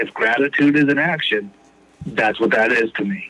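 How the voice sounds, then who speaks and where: This man has an American accent and a medium pitch with ordinary pitch variation. Noticeable background noise is present. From Texas (Houston). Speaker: recovering addict sharing his story. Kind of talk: personal recovery testimony in podcast interview.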